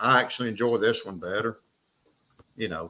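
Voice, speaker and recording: With an Appalachian accent, a man talks at a fairly quick pace in a bright, sharp tone, using a medium pitch and fairly even intonation. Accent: Southern US, Appalachian-sounding. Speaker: knife and leatherwork YouTuber. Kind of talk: casual chat.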